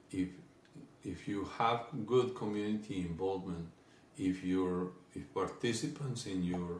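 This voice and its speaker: With audible room echo, a man in a Spanish accent speaks at a fairly slow pace in a very deep, low pitch with ordinary pitch variation. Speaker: company executive. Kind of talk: business presentation. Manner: halting, frequent fillers.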